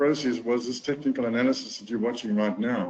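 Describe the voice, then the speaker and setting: Speaking with a South African accent, a man talks at a moderate pace and medium pitch. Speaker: golf teacher and trading course affiliate. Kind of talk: webinar testimonial talk.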